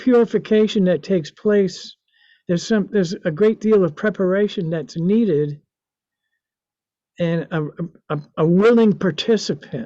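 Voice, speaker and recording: A man speaks at a fairly slow pace, with long, frequent pauses. His pitch is high, with ordinary variation. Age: 70s. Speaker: artist and author. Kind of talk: interview. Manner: halting, many fillers.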